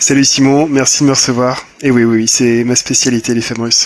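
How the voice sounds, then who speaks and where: Over noticeable background noise, a man talks at a fairly quick pace, medium in pitch, with monotone, flat intonation. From southern Brittany, France. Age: 30s. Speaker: matchmaker. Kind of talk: interview. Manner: hesitant, many fillers.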